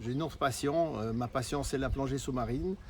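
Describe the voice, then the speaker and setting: With a Swiss accent, a man talks at a medium pitch with fairly even intonation. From Switzerland. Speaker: marketing presenter, former diving professional. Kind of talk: sales pitch. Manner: hesitant, many fillers.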